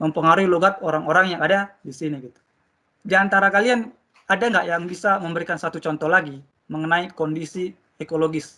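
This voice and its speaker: Speaking very fast, a man with a high pitch and a bright, sharp tone shows ordinary pitch variation and big swings in loudness. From Indonesian mountain region. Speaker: teacher. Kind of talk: classroom lesson.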